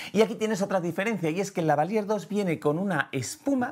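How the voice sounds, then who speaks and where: The background stays quiet. A man talks at a fairly quick pace. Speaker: photography and video educator; video educator. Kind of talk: tutorial. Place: studio. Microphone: lapel.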